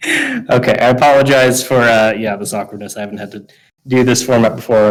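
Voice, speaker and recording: A man with an American accent at a fairly quick pace, with fairly even intonation. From US West Coast. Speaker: game developer giving a talk. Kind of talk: lecture. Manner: fast.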